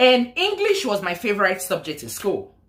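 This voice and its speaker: A woman's voice with a strong Nigerian accent. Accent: thick Nigerian. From Nigeria, Lagos. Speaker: nurse and vlogger. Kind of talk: casual vlog story time.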